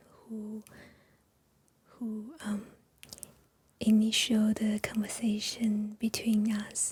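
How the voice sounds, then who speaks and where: A woman whispers, soft-spoken and very slow, leaving long, frequent pauses. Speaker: Chinese teacher. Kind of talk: ASMR chat. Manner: soft-spoken, whispered; slow, hesitant.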